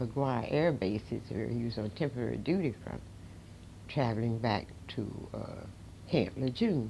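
Over light background noise, a woman with an American accent speaks fairly slowly in a very deep, low pitch, her dark, mellow tone marked by vocal fry and lively intonation. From US South. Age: 80s+. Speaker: civil rights figure; interviewee. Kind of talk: interview storytelling.

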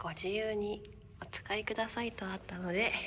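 There's noticeable background noise as a woman talks in a fairly even intonation. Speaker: freelance announcer, MC and narrator. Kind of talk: casual talk to camera. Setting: travel vlog, hotel and outdoors.

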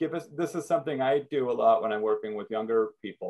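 A man's medium pitch and slightly mellow tone at a fast pace. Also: ordinary pitch variation.

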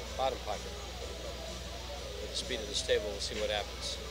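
Clear music plays in the background. A man speaks in a dry sound with no echo. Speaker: pool match commentator. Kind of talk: commentary. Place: hall.

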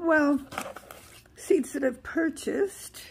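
A woman speaks against light background noise. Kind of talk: casual vlog chat. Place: home room. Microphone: phone near.

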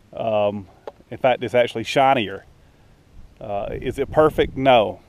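With a slightly mellow tone and medium pitch, a man speaks at a fairly slow pace and with ordinary pitch variation.

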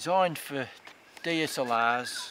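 Noticeable background noise behind a man's dry-sounding voice with no echo. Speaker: hobby filmmaker reviewing gear. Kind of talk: casual product review. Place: forest.

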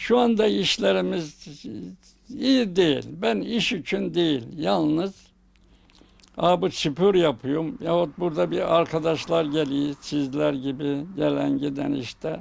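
A man's fairly high voice at a very slow pace, with very wide pitch swings. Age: 80s+. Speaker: shopkeeper. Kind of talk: interview. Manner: halting.

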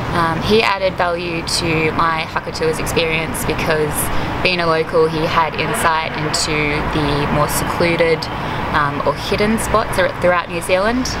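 Loud background noise fills the recording. A woman speaks over it at a fairly slow pace. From Australia. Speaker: tour customer giving testimonial. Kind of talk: customer testimonial interview answer. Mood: calm, positive.

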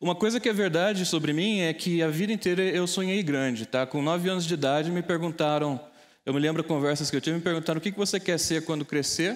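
At a very fast pace, a man talks in a high pitch with ordinary pitch variation and very even loudness. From Brazil, interior of São Paulo state (Taubaté); São Paulo, Brazil. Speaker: data scientist and tech entrepreneur; keynote speaker. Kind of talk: keynote talk. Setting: stage with audience. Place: hall. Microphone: lapel.

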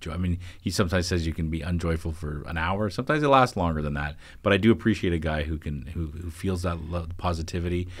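Talking at a very fast pace over a quiet background, a man with a Canadian accent uses a very deep, low pitch and ordinary pitch variation. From Ontario, Canada. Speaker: newspaper editor and co-host; newspaper editor, co-host. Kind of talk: casual chat. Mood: warm, reflective. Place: studio. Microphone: studio mic.

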